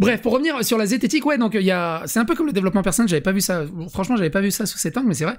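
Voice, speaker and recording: A man talks at a very fast pace with very wide pitch swings over a quiet background. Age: 40s. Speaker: YouTuber and podcast host; YouTuber, podcast host. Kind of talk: casual chat. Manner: animated, variable pace and volume. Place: home room. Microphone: studio mic.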